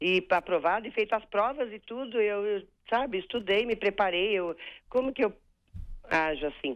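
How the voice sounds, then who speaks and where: A woman at a medium pitch talks at a moderate pace, using ordinary pitch variation. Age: 50s. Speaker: caller, retired public servant. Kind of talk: radio call-in question. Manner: halting.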